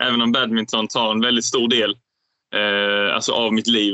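Holding a medium pitch, a man talks at a moderate pace in a monotone, flat intonation. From southern Sweden, Skåne (Ängelholm). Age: 20s. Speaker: professional badminton player. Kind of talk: interview.

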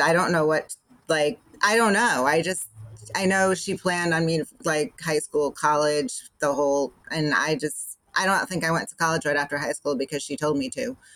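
An ordinary speaking voice at a moderate pace. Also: woman. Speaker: guest, mother of three. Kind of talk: casual chat.

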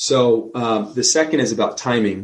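A man talks with a New Jersey accent. His pitch sits at a medium level. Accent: New Jersey American. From New Jersey, US. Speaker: emergency physician. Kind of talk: interview conversation.

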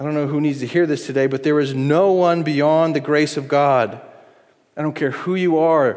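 Amid audible room echo, the delivery keeps a moderate pace and fairly even intonation. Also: man. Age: 40s. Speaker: pastor. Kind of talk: sermon.

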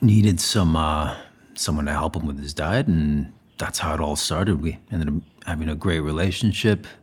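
A man with a very deep, low pitch and a somewhat breathy voice speaks at a moderate pace. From Spain (Zaragoza). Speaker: chef and celebrity nutritionist. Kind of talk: casual chat. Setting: at guest's home.

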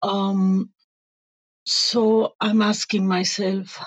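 A woman speaks with a Spanish accent at a medium pitch and a very slow pace. The sound is dry and close, with no echo. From Venezuela. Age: 50s. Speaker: life coach. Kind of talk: interview.

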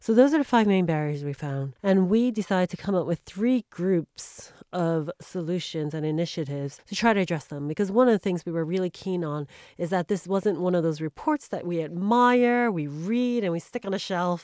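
Speaking with a New York accent, a woman with a fairly low pitch and a dark, mellow tone talks at a fairly quick pace with lively intonation, the sound dry and close with no echo on a very clean recording with a silent background. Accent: New York American. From US, New York. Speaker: bank executive. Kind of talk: interview.

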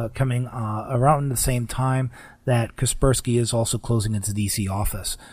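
A man's somewhat breathy voice, fairly even in intonation. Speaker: radio host. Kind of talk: radio host patter, scripted-sounding show intro and segment bridges. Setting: radio studio, broadcast on AM stations.

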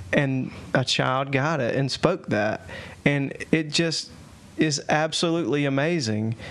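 This voice has a Southern US accent and ordinary pitch variation. The pace is fairly slow. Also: man, fairly high pitch for a man. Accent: Southern US (Georgia). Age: 30s. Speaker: podcast host. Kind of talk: casual chat. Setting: at home, video podcast.

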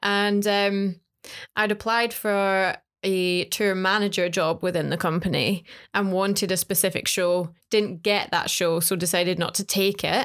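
A woman with a British accent and medium pitch, fairly slow pace, fairly even intonation and very even loudness, on a very clean recording with a silent background. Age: 20s. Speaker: singer and podcast co-host. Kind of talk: casual chat.

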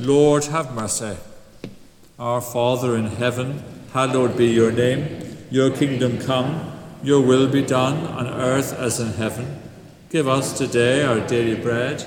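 A man at a fairly slow pace with fairly even intonation, over noticeable background noise. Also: medium pitch for a man. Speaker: service leader or minister. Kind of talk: church liturgy, prayers and responses. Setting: church.

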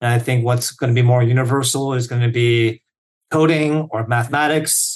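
A man with a medium pitch, talking at a moderate pace. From South Korea. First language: Korean. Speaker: software engineer. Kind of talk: casual interview. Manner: enthusiastic, filler-heavy.

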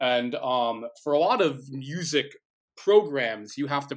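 A normal speaking voice: a man, fairly high in pitch, at a fairly slow pace with ordinary pitch variation. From New Jersey. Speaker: baritone singer and music teacher. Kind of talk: casual interview.

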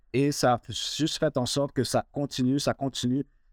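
A man's fairly slow, monotone, flat delivery, dry and close with no echo, on a very clean recording with a silent background. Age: 40s. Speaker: mortgage broker, victim of racial profiling. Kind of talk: testimony.

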